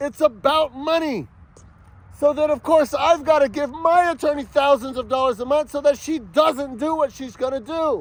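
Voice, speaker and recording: At a moderate pace, a man talks in an extremely high pitch with an animated tone. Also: ordinary pitch variation. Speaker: father in a custody dispute. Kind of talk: angry personal monologue. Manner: yelling.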